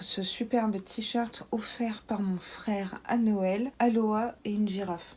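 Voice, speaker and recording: Somewhat breathy and fairly high-pitched, a woman speaks with fairly even intonation. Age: 30s. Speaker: YouTuber, beauty box reviewer. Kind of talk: casual Q&A vlog. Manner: frequent hesitations (euh).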